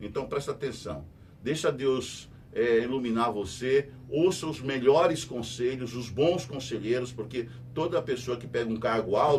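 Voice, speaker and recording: A man talks at a fairly slow pace. His pitch is medium, with ordinary pitch variation. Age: 60s. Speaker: radio host and news commentator. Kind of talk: news commentary monologue. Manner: conversational, repetitive emphatic.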